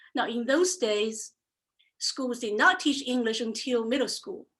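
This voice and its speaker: A woman talks in a high, bright, sharp voice with a Chinese accent and lively intonation. The recording is very clean, with a silent background. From China, Xuzhou. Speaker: entrepreneur. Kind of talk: presentation talk.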